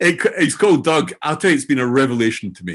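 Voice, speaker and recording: A man with a Scottish accent. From Scotland. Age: old. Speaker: AI learning entrepreneur and author. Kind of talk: interview self-introduction. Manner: hesitant, with fillers and repetitions.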